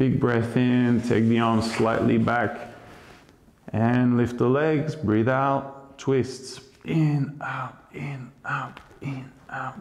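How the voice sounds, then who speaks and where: A man with a calm, soothing tone speaks at medium pitch in monotone, flat intonation. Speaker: yoga teacher. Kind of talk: guided yoga class instruction, breath-paced cues. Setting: online video class. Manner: calm, slow, soothing, instructive; rhythmic, paced with breathing, repeating counts. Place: home room.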